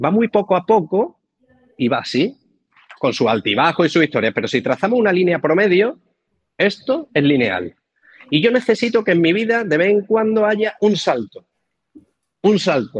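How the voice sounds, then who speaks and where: Moderate pace with long, frequent pauses, very wide pitch swings and very even loudness, in a dry, close sound with no echo. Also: man, high pitch for a man. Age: 40s. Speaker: real estate mentor. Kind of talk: interview.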